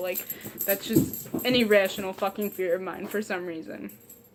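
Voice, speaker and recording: With an American accent and an animated tone, a woman talks at a fairly quick pace and medium pitch amid noticeable background noise. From Ohio. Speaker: vlogger. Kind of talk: casual chat. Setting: sitting in front of couch at home.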